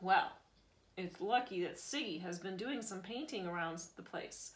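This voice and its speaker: A female-sounding put-on character voice at a middle pitch and moderate pace. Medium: read story. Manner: calm, clipped.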